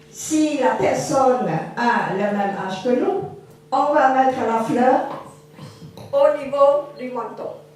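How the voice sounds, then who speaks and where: A woman speaks loudly at a very slow pace, with high pitch, ordinary pitch variation and long, frequent pauses. Audible room echo and noticeable background noise are present. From Cambodia. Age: 70s. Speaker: witness speaking at a school forum. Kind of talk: testimony talk to students. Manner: trying to speak louder without mic.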